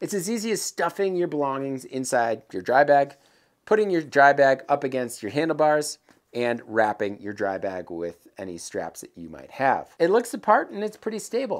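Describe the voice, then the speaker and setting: A man at a moderate pace with big swings in loudness, over a quiet background. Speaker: presenter. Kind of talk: tutorial. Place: workshop. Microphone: lapel.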